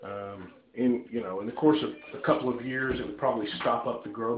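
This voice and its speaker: A man talks with ordinary pitch variation over noticeable background noise, with audible room echo. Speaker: DIY hobbyist. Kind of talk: casual tutorial walkthrough. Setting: home bathroom. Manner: hesitant, many fillers.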